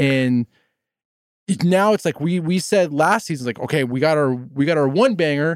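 A man speaks at a moderate pace with fairly high pitch and ordinary pitch variation, recorded very cleanly against a silent background with a dry, close sound and no echo. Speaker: podcast host. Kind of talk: casual chat, opinionated review. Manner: animated, opinionated, flustered.

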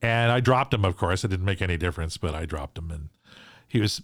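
Lively intonation marks this man's fairly low, somewhat breathy voice with a Canadian accent. The sound is dry and close with no echo, a very clean recording with a silent background. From Saskatchewan and British Columbia, Canada. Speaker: sports radio host. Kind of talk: casual interview. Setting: in person in host's sports room. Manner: repeats and restarts words.

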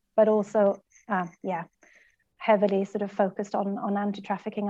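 A woman with a Swedish accent speaks at a medium pitch in a dark, mellow tone, with monotone, flat intonation and a moderate pace against a quiet background. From Sweden. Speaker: anti-trafficking worker and church planter. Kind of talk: interview.

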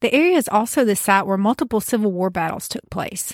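In a rural Southern US accent, a woman with a fairly high pitch talks at a fairly quick pace with ordinary pitch variation, in a very clean, dry, close recording with a silent background and no echo. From US South, rural backwoods. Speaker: podcast host. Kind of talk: storytelling narration.

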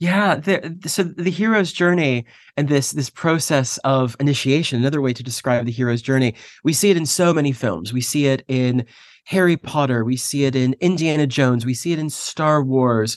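Against a quiet background, a man with an American accent speaks in a plain, everyday voice. His pitch is fairly high, with ordinary variation, and his pace is moderate. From US. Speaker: university professor and mindfulness teacher. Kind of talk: casual interview conversation.

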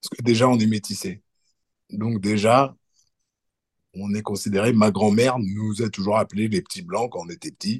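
A man talks with a fairly low pitch. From France. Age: 40s. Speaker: electrician. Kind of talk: casual interview. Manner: hesitant, many fillers.

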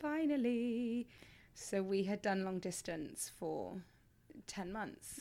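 A woman with a southern English accent talks at a very slow pace, her medium-pitched voice dark and mellow in tone with lively intonation. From England. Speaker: podcast co-host, performer and personal trainer. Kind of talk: casual chat.

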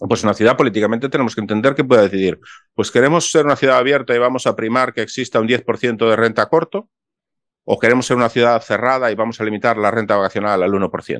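In front of a quiet background, a man speaks at a very fast pace with a medium pitch and ordinary pitch variation. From Spain. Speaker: architect, vacation rental host and YouTuber. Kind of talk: interview conversation.

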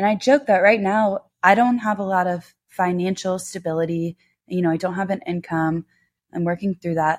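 A woman talks at a moderate pace in a medium pitch, with fairly even intonation and a plain, everyday voice. The recording is very clean and silent in the background, with a dry, close sound and no echo. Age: 20s. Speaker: podcast host. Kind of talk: personal monologue. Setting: home, on couch.

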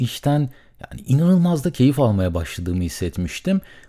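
On a very clean recording with a silent background, a man with a fairly high, somewhat breathy voice and a dark, mellow tone speaks at a moderate pace, his pitch swinging very widely. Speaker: solo podcaster. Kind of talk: solo monologue about podcasting costs. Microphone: studio condenser mic with pop filter.

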